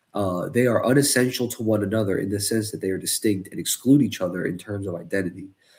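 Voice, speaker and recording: Somewhat breathy and fairly low-pitched, a man speaks at a fairly quick pace with ordinary pitch variation in a very clean recording against a silent background. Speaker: philosophy video presenter. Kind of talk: lecture. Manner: hesitant with fillers.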